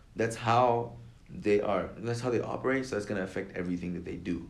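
A plain, everyday voice with an American accent, fairly quick pace and ordinary pitch variation. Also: man. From California, with teen years in Lagos, Nigeria. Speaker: engineering student. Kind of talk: casual chat.

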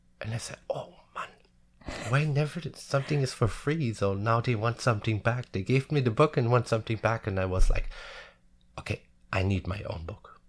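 Against a quiet background, a man speaks at medium pitch and a moderate pace, sounding somewhat breathy. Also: ordinary pitch variation. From Germany, village near Frankfurt am Main. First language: German. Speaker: hairdresser. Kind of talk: interview. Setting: studio. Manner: halting.

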